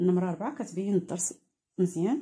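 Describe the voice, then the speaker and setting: A woman talking at a very fast pace, fairly low in pitch, with ordinary pitch variation. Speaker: crafts teacher. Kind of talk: tutorial. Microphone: phone near.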